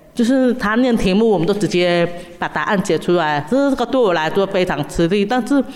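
Over noticeable background noise, a woman with a medium pitch talks at a fairly quick pace with lively intonation. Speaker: special education teacher. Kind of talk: interview.

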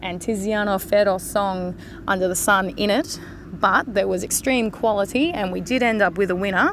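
At a moderate pace, a woman speaks at medium pitch with a fairly bright tone and ordinary pitch variation.

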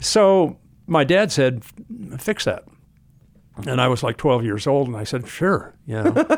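A man with an American accent speaks fairly slowly and fairly high in pitch, with very wide pitch swings and long, frequent pauses. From Southern California (Hollywood). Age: 70s. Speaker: turbo and performance parts company founder. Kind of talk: casual interview. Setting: conference room.

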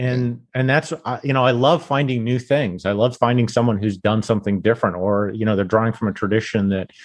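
Against a quiet background, a man with an American accent speaks at a fairly low pitch. His pace is moderate and his pitch variation ordinary. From Utah, US (Salt Lake City). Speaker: barbecue writer. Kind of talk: casual interview. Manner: hesitant, many fillers.

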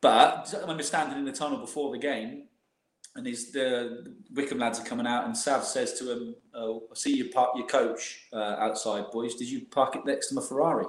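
A man at a moderate pace, with audible room echo. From West Country, England. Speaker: former professional footballer. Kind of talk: casual interview.

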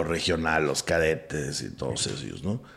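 A man at a moderate pace, with vocal fry and lively intonation. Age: 40s. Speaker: theatre producer and actor. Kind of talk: casual chat. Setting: room with echo. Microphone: echoey recording.

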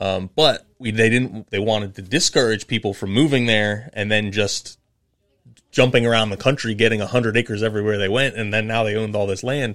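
With a normal speaking voice, a man talks at a fairly quick pace in a fairly low pitch, keeping his intonation fairly even. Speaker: podcast co-host. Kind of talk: casual chat.

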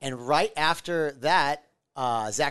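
A man with an American accent and a normal speaking voice talks at a fairly slow pace with ordinary pitch variation. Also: quiet background. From US Midwest, Omaha. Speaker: restaurant owner. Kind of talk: casual chat.

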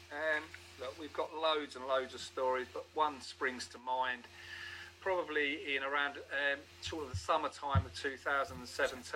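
Over noticeable background noise, a man with a fairly high pitch talks at a fairly slow pace, showing big swings in loudness and ordinary pitch variation. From northern England, Newcastle. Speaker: homeless charity volunteer. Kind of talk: interview.

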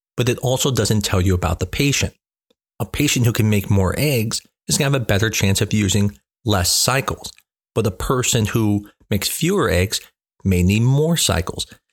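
In a very clean recording with a silent background, a plain, everyday voice with an American accent speaks at a moderate pace, with ordinary pitch variation and very even loudness. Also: man, fairly low pitch for a man. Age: 40s. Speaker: fertility doctor. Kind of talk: educational monologue.

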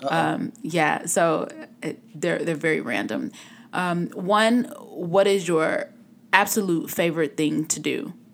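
On a very clean recording with a silent background, a woman in a Chicago accent speaks slowly at a fairly low pitch, with very wide pitch swings and vocal fry. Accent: Chicago American. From US Midwest. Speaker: podcast host. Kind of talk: casual interview. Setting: studio.

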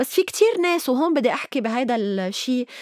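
With a Lebanese accent, a woman speaks at a high pitch and moderate pace with lively intonation, in a dry, close sound with no echo and noticeable background noise. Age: 50s. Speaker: writer and activist. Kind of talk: interview.

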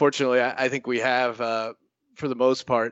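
With an American accent, a man talks at a fairly quick pace in an ordinary speaking voice, pitched medium. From Philadelphia area (military family). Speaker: sports gambling podcaster. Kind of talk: casual chat.

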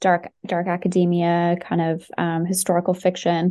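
Here is a woman with a plain, everyday voice. Her pitch is medium and her pace fairly slow. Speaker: company staff member, communications. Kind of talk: casual interview.

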